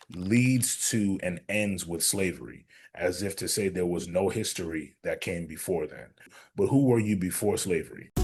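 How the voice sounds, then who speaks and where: The man's pitch is fairly low, with ordinary variation. He speaks at a moderate pace against a quiet background. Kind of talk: podcast host.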